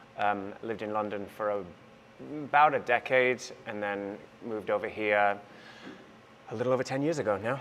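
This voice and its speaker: Speaking with a Welsh accent at a fairly quick pace, the voice breaks up with long, frequent pauses. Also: man, fairly low pitch for a man, ordinary pitch variation. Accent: Welsh, noticeable. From North Wales. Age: 30s. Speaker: musical theatre actor. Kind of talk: interview on stage. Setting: stage with audience.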